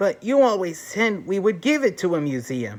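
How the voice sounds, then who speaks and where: This put-on character voice sits at a middle pitch with very wide pitch swings. The pace is moderate. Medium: read story. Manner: earnest.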